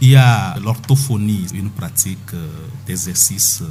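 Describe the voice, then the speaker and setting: A man's pitch varies in an ordinary way while music plays behind him. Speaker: doctor guest speaking on health topic (stuttering). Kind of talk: radio interview answer, explanatory.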